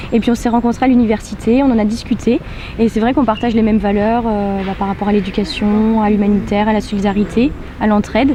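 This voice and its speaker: Through noticeable background noise, a woman speaks at a very fast pace. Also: fairly high pitch for a woman, fairly even intonation. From western France (La Rochelle). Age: 20s. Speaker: student on a charity car rally. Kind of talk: interview. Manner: hesitant, many fillers.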